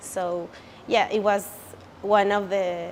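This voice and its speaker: In a Spanish accent, a woman with a medium-pitched voice speaks at a very slow pace. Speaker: creative director, language student. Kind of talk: testimonial interview. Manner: halting, many fillers and restarts.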